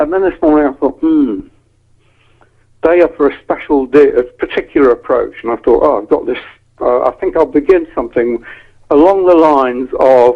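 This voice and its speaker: In an English accent, a man speaks at a fairly quick pace. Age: 70s. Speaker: copywriter. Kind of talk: casual chat. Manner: halting.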